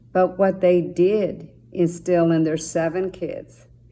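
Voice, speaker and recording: Speaking at a very slow pace, a woman with a Spanish accent has a fairly low pitch, a dark, mellow tone and monotone, flat intonation. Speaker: judge. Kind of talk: motivational talk to students.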